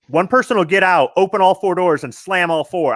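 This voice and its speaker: A man speaks loudly at a high pitch. His pace is fairly quick. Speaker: gun enthusiast. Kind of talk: casual chat.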